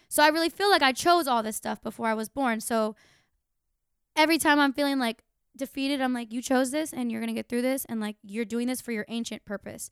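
Speaking very fast, a woman with an American accent uses a high pitch on a very clean recording with a silent background. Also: ordinary pitch variation. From Florida, Tampa. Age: 20s. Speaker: musician. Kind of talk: casual chat. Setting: home.

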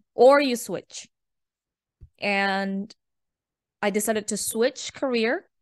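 A woman speaks with a non-native accent at a fairly high pitch. Her pitch varies in an ordinary way against a quiet background. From developing country, outside the UK. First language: not English. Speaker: career coach and tech entrepreneur. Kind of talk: podcast interview. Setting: remote call.

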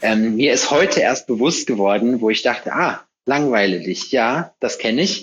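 With a normal speaking voice, a man talks at a moderate pace and medium pitch, his intonation lively and his loudness very even. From North Rhine-Westphalia, between Hagen and Lüdenscheid. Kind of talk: casual chat.

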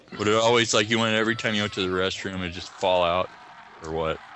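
A man speaks at a fairly quick pace in a fairly low voice with ordinary pitch variation, and there is noticeable background noise. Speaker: horror podcast host appearing as guest. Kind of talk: casual group movie commentary. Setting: Skype call.

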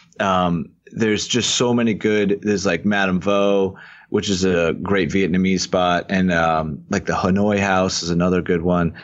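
A man's fairly low-pitched, plain, everyday voice with an American accent, fairly even intonation and a moderate pace. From Rhode Island, US. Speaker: video editor and travel TV show creator. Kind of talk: casual interview.

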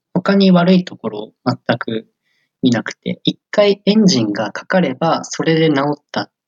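The sound is close and dry, without echo. Pitch rises and falls very widely. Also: man. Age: 20s. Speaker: software engineer. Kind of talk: interview. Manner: hesitant, many fillers.

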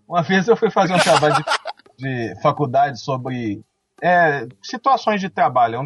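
Music in the background behind a man's fairly high voice, at a moderate pace, with very wide pitch swings. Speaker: police investigator. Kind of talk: casual chat.

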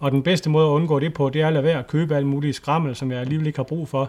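His words come out at a very fast pace. The man keeps his intonation fairly even. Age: 40s. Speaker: nature photographer and adventurer. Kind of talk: casual interview chat. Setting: Skype call.

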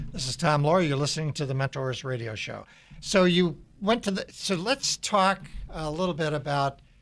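In a plain, everyday voice, a man with fairly high pitch and ordinary pitch variation talks at a moderate pace on a very clean recording with a silent background. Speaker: radio host, CEO mentor. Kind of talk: radio interview. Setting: studio.

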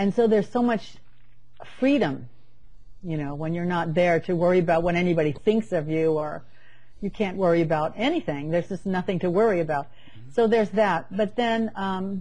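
Somewhat breathy and dark, mellow in tone, a woman's fairly low voice moves at a moderate pace with ordinary pitch variation. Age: 60s. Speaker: spiritual author. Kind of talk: casual chat.

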